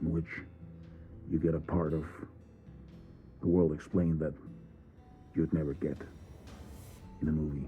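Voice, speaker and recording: Music plays in the background as a man speaks in a very deep, low voice at a moderate pace. His intonation is monotone and flat, with long, frequent pauses. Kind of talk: reflective essay narration. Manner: dramatic pauses.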